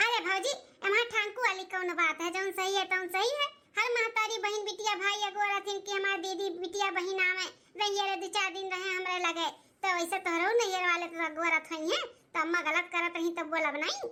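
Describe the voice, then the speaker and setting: In a cartoonish character voice, a woman talks at a moderate pace with an extremely high pitch and ordinary pitch variation. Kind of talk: rustic cartoon dialogue.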